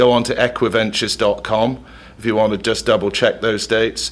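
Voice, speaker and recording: Speaking fairly quickly with an English accent, a man keeps a medium pitch in a monotone, flat delivery. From England. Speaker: equestrian event organizer. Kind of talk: radio interview.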